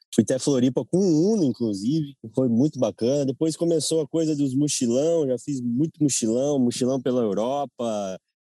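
Speaking at a fairly slow pace, a man has a medium pitch, a dark, mellow tone and ordinary pitch variation, recorded with a dry, close sound and no echo. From Brazil, São Paulo state interior. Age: 30s. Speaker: traveler. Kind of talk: casual chat.

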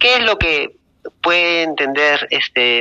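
This man talks at a very slow pace. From Peru, Lima. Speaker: book club member. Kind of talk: casual chat. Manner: halting, many fillers.

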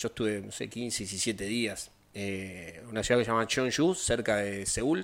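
On a very clean recording with a silent background, a man with an ordinary speaking voice talks at a fairly slow pace, with a fairly low pitch and ordinary pitch variation. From Argentina, Rosario. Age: 50s. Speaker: taekwondo instructor. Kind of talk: interview.

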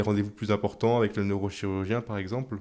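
The recording is very clean, with a silent background. A man speaks at a fairly low pitch, his tone dark and mellow, his intonation fairly even. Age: 20s. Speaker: patient with chronic illness. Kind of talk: testimony. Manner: hesitant, with frequent fillers.

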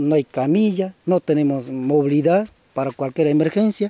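A man talks in an ordinary speaking voice at a fairly high pitch with ordinary pitch variation. His moderate pace comes through in a dry, close sound with no echo. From Peruvian Amazon, Shipibo community. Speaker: former community chief. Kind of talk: interview testimony.

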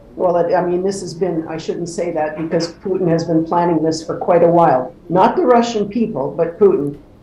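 The speech moves at a moderate pace with ordinary pitch variation, amid noticeable background noise and audible room echo. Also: woman. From born in England, raised in Canada. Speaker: community organization president. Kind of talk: interview. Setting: video call from home.

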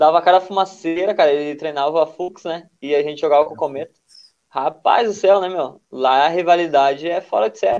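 At a fairly quick pace, a man speaks in a plain, everyday voice, fairly high in pitch with ordinary pitch variation. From southern Brazil, Rio Grande do Sul. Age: 20s. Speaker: futsal player. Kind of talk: casual interview chat.

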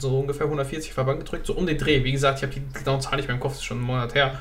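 A man with a fairly high voice talks, and the room echo is audible. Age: 20s. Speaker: fitness podcast co-host. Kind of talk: casual chat.

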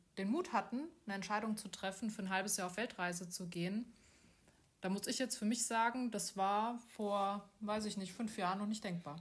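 Somewhat breathy, a woman speaks at a moderate pace. Her intonation stays fairly even. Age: 40s. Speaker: podcast host, bank employee and coach. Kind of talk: casual chat. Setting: abroad on Koh Samui.

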